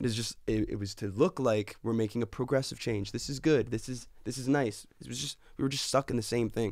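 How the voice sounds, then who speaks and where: In a very clean recording with a silent background, a man with a Canadian accent and vocal fry talks at a fairly quick pace and medium pitch, with ordinary pitch variation and hardly any pauses. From Canada, Edmonton. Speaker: recording artist. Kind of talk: casual chat.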